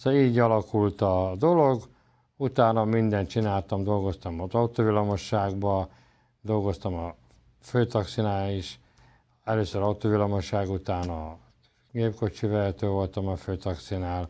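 His voice is fairly low and dark, with a mellow tone. This man speaks at a fairly slow pace. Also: ordinary pitch variation, quiet background. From Hungary, Pécs; Hungary. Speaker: esoteric lecturer and healer; lecturer, TV show host. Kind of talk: autobiographical lecture. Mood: calm, reflective storytelling. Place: studio.

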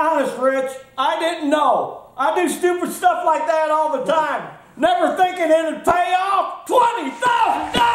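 A put-on character voice at an extremely high pitch goes along at a fairly slow pace, with a slight echo. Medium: comedy sketch. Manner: folksy, excitable.

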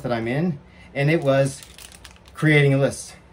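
A man with a fairly high voice talks at a fairly quick pace. His voice is somewhat breathy. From England. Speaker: vlogger. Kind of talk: personal vlog monologue. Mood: emotional, grateful, animated. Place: home room. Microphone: earbuds.

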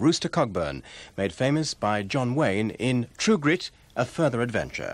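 A man with a British accent at a medium pitch, very wide pitch swings, a warm, cheerful tone and a moderate pace, on a very clean recording with a silent background. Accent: British received pronunciation. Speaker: continuity announcer. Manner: formal, smooth, warm and cheerful, clearly enunciated.

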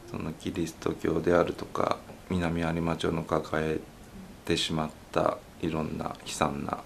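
This man's pitch is very deep and low, with monotone, flat intonation. He speaks at a fairly slow pace. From Nagasaki, Japan. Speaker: sculptor. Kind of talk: interview.

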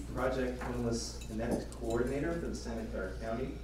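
Noticeable background noise runs under this recording. A man talks with audible room echo around him. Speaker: event host introducing speakers. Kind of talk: formal speaker introduction. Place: hall.

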